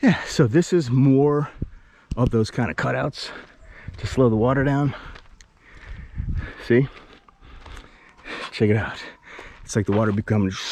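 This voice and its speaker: A man of medium pitch with lively intonation and a fairly slow pace, amid noticeable background noise. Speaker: indie filmmaker and YouTuber. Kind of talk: vlog walking tour. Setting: outdoors on a hiking trail. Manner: casual, playful.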